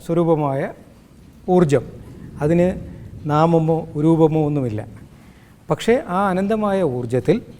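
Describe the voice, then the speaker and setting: A man speaks with a dark, mellow tone. His pitch is high, with ordinary variation. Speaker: spiritual teacher and healing centre founder. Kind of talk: spiritual discourse interview.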